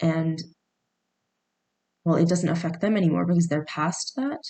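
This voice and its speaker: A woman with a dark, mellow tone and fairly low pitch speaks at a moderate pace with fairly even intonation. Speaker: vlogger. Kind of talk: casual monologue. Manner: halting, many fillers and restarts.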